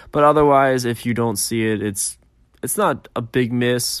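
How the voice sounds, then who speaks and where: On a very clean recording with a silent background, a man talks at a fairly quick pace in an unremarkable speaking voice with ordinary pitch variation. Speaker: paranormal podcast host. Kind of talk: casual solo podcast monologue.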